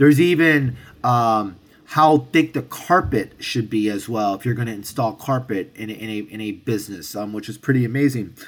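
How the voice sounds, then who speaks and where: A man with a normal speaking voice and an American accent, medium pitch, ordinary pitch variation, big swings in loudness, moderate pace, very clean recording with a silent background. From New York City (Hell's Kitchen, Manhattan). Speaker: restaurateur and sommelier. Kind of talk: interview. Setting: restaurant with construction noise.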